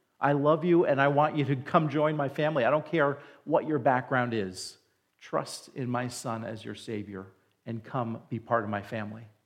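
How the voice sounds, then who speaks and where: A man with a plain, everyday voice speaks at a fairly high pitch and a fairly slow pace, with ordinary pitch variation. The recording is very clean, with a silent background. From New Jersey, near New York City. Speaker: pastor. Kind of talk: sermon. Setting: church.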